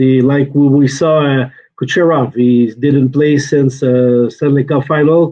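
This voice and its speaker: A man with a Quebec accent speaks at a fairly slow pace. His fairly high voice keeps a monotone, flat intonation. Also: very even loudness. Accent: French-Canadian accent in English. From Quebec, Shawinigan. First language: French. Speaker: hockey reporter. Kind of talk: casual sports chat. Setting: hotel room, video call. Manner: hesitant, many uh fillers.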